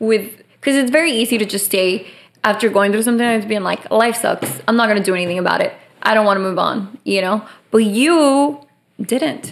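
A woman with an unremarkable speaking voice talks at a fairly high pitch and moderate pace, with ordinary pitch variation. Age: 20s. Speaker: podcast host. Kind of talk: casual chat.

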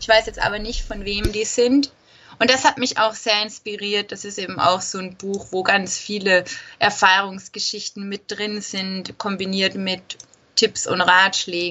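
An unremarkable speaking voice: a woman at medium pitch, fairly slow, with fairly even intonation and big swings in loudness. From Austria. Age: 20s. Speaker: travel blogger, former nurse. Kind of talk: interview.

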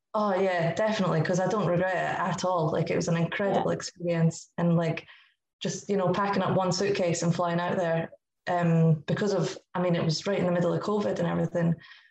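At a very fast pace, a woman with a Scottish accent speaks in a monotone, flat intonation, fairly low in pitch, her loudness very even. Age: 20s. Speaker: football goalkeeper. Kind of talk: podcast interview.

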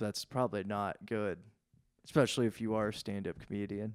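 Medium in pitch, a man talks at a fairly quick pace. The recording is very clean, with a silent background. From Indiana, US Midwest. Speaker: stand-up comedian. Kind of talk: casual chat.

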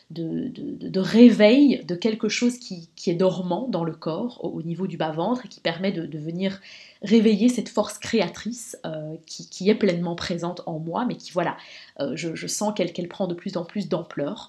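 A woman speaks at a fairly slow pace and medium pitch, her tone dark, mellow and somewhat breathy, with ordinary pitch variation and big swings in loudness. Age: 30s. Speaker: podcast host and women's coach. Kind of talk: personal monologue. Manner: hesitant with repetitions.

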